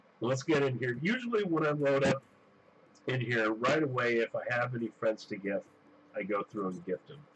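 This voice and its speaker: A man at medium pitch and moderate pace, ordinary pitch variation, long, frequent pauses, noticeable background noise. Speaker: gaming video creator. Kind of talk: gameplay commentary. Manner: halting, many fillers.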